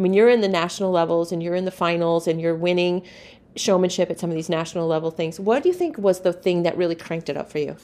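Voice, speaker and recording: A woman with a Midwestern US accent at a very fast pace, fairly low in pitch, with a dark, mellow tone and fairly even intonation. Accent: US Midwest. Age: 50s. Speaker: podcast host, livestock show community. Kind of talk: casual interview.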